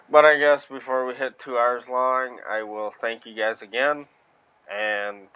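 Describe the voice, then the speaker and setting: A man with an American accent talks at a fairly slow pace at a medium pitch. His intonation is fairly even, but his loudness swings widely. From Wisconsin. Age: 20s. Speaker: gaming streamer. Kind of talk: casual gameplay commentary. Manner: halting.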